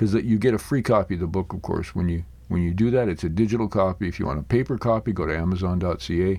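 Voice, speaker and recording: A man's dark, mellow tone with lively intonation. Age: 60s. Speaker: podcast host. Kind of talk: solo podcast monologue. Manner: casual, with fillers and restarts.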